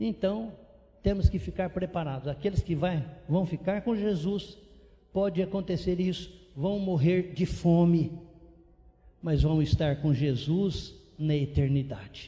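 A man's high, dark, mellow voice at a fairly slow pace, with ordinary pitch variation and long, frequent pauses. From interior of São Paulo, Brazil. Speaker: missionary pastor. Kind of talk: sermon.

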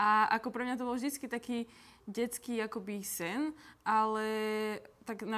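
A woman's fairly high-pitched, plain, everyday voice with fairly even intonation. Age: 20s. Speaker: nutrition coach and content creator. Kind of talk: casual interview.

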